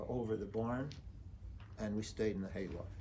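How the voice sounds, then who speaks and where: The man's voice is somewhat breathy, with ordinary pitch variation. Audible room echo surrounds it. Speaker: Holocaust survivor. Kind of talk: testimony. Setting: memorial site talk. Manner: halting.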